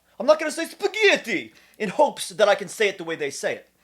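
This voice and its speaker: This voice has an animated tone and a New Jersey accent. It moves at a fairly quick pace. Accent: New Jersey American. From US Northeast, central New Jersey (Trenton). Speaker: kratom advocate YouTuber. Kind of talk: opinion monologue to camera.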